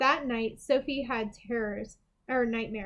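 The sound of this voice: This is an unforced reading voice. Its intonation is fairly even.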